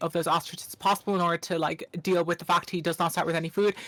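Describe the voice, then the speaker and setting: Noticeable background noise sits behind a woman with an Irish accent. Her pitch is medium and her intonation fairly even. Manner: fast.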